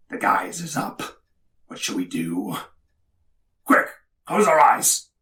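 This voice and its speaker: Raspy put-on character voice, delivered fairly slowly. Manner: panicky, comic.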